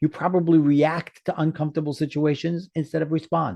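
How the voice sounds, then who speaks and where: A man talks fairly quickly in a New York accent, his pitch high. The sound is dry and close with no echo, over a quiet background. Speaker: life coach. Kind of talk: interview.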